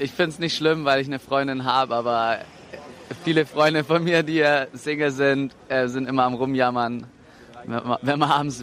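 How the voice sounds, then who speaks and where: Someone talks at a moderate pace with fairly even intonation and long, frequent pauses, over noticeable background noise. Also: man. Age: 20s. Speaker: engineering student. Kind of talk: interview.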